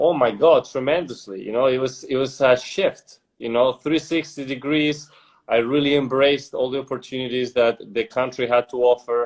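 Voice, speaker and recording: A man speaks in a Spanish accent at medium pitch and a moderate pace, his intonation fairly even. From Spain, Madrid. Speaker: entrepreneur. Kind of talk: casual interview.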